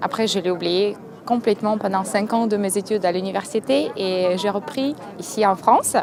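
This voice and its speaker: Her voice sits at a medium pitch. The woman is heard against noticeable background noise. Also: ordinary pitch variation, moderate pace. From Moldova. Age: 20s. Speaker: university student. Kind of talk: interview. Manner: hesitant, with fillers.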